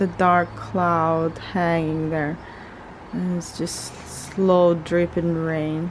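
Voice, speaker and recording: Quiet and fairly low in pitch, a woman speaks at a very slow pace over noticeable background noise. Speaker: lifestyle vlogger. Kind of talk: casual vlog talk. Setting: at home. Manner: halting.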